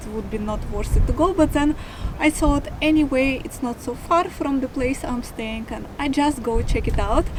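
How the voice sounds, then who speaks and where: Over noticeable background noise, a woman with a Russian accent talks at a moderate pace with ordinary pitch variation. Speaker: travel vlogger. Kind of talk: casual talk to camera. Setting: outdoors.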